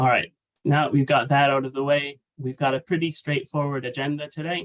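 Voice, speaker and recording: A man's fairly high voice comes across somewhat breathy, with a dry, close sound and no echo. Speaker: webinar presenter. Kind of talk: webinar presentation. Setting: online webinar.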